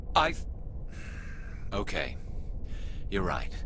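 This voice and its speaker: Loud background noise surrounds a put-on character voice. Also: man. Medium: machinima. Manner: blunt, intense.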